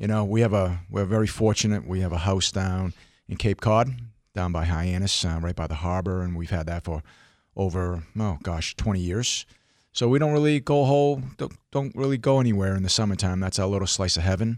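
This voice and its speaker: A man with an American accent speaks in a normal speaking voice, fairly low in pitch, with lively intonation at a fairly quick pace on a very clean recording with a silent background. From Hong Kong, then US. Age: 50s. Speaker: financial advisor. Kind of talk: radio interview.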